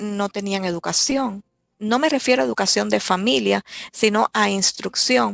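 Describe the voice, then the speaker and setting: A woman at a moderate pace, in a very clean recording with a silent background and a dry, close sound with no echo. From Cuba, Candelaria (Artemisa). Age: 60s. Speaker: writer and editor. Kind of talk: personal storytelling interview.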